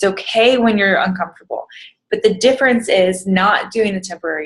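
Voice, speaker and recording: Lively intonation marks this woman's somewhat breathy delivery. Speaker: fitness coach vlogger. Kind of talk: casual motivational vlog. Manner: rambling, hesitant with many ums.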